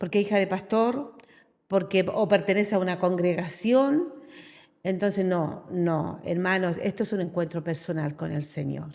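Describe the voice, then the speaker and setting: In an unremarkable speaking voice, a woman talks at a medium pitch and a fairly slow pace, with ordinary pitch variation. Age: 60s. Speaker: pastor. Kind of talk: testimony.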